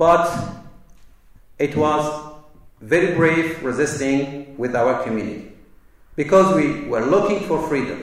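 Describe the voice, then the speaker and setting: Speaking with a Kurdish accent at a fairly slow pace, a man with fairly high pitch and ordinary pitch variation leaves long, frequent pauses amid noticeable background noise and audible room echo. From Kobani, Syria (Kurdish). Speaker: political delegate. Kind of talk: public speech. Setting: university lecture hall with audience. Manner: formal.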